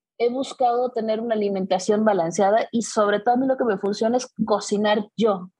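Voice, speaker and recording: A woman's somewhat breathy voice, dark and mellow in tone, with a Mexican accent. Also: dry, close sound with no echo. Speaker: personal fitness trainer. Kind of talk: casual interview.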